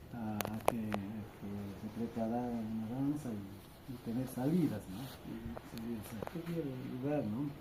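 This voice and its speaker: A man's voice carries ordinary pitch variation, with noticeable background noise and audible room echo around it. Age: 60s. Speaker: community tourism guide. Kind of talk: interview. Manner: halting.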